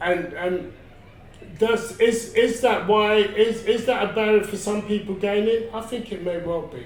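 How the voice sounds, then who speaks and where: A loud, high-pitched man speaks with fairly even intonation and long, frequent pauses, with noticeable background noise and audible room echo. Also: moderate pace. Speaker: interviewee on health awareness. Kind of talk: interview testimony.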